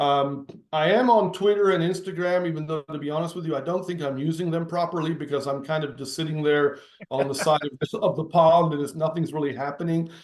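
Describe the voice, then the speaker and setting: A man's fairly high voice at a fairly quick pace, fairly even intonation, noticeable background noise. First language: Italian. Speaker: novelist. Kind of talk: interview. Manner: halting.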